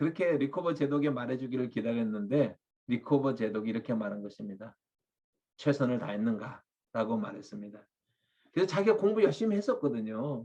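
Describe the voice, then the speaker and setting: A man speaks at a fairly quick pace in a dark, mellow tone. His pitch makes very wide swings. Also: medium pitch for a man. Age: 60s. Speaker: pastor. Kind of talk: sermon. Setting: webinar video.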